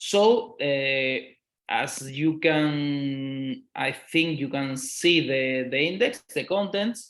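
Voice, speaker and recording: A man with a Spanish accent, fairly high in pitch, with lively intonation and a very slow pace. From Spain. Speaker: law professor. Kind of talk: lecture. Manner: halting, many fillers and repetitions.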